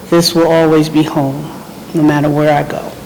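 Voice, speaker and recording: The speaker has an American accent and keeps a moderate pace. Noticeable background noise and audible room echo fill the recording. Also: woman. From New Jersey. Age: 60s. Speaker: home care client. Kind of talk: testimonial interview. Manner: casual, with hesitations.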